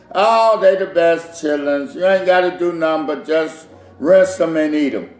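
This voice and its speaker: A man's high-pitched voice at a moderate pace with ordinary pitch variation, amid noticeable background noise and audible room echo. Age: 60s. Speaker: home cook and caterer. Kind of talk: cooking tutorial. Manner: casual, repetitive.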